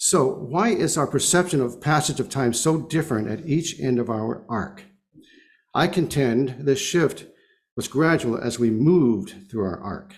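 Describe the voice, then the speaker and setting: In a room with audible echo, a man at medium pitch speaks at a fairly slow pace with lively intonation. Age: 70s. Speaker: lay speaker at congregation service. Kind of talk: sermon.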